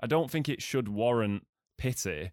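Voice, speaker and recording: The speaker is a man with an English accent. The recording is very clean, with a silent background. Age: 30s. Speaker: podcast host and filmmaker. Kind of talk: casual chat.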